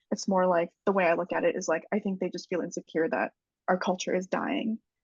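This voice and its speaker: A woman speaks with an Upper Midwest accent. Her pace is fairly quick. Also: medium pitch for a woman, ordinary pitch variation. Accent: Upper Midwest American. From Central Wisconsin, US. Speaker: podcast guest, mental health advocate. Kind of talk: casual interview chat.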